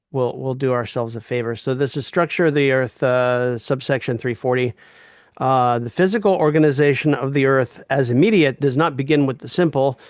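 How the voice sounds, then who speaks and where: At a fairly quick pace, a man speaks in a normal speaking voice at a medium pitch with ordinary pitch variation against a quiet background. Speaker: reading group leader. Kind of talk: reading group discussion.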